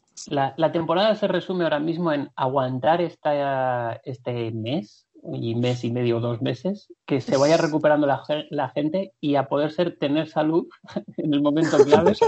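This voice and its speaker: An ordinary speaking voice from a man, its pitch varying in an ordinary way. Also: fairly high pitch for a man, fairly slow pace. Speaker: basketball podcast co-host. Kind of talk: casual chat.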